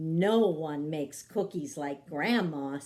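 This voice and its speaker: A put-on character voice sits at a middle pitch. The pace is fairly slow. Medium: read story. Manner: warm, patient.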